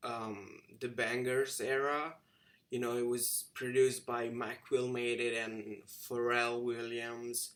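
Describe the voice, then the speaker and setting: A man speaks at a medium pitch and a very slow pace. His intonation is monotone and flat. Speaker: vlogger. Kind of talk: casual monologue. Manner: halting.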